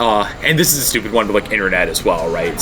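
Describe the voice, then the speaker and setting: The man's fairly low voice comes with noticeable noise behind it. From Canada. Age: 20s. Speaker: university student. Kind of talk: interview. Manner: hesitant, many fillers.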